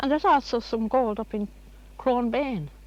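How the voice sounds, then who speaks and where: A woman speaks in a rural Irish accent. Her pace is moderate, and the background is quiet. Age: 70s. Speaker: local resident. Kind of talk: interview.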